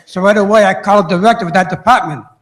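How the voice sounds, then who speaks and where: A man speaks in a high pitch with an American accent. Audible room echo is present. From Boston, Massachusetts. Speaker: city council member. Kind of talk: speech at council meeting. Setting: council chamber with audience. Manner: halting.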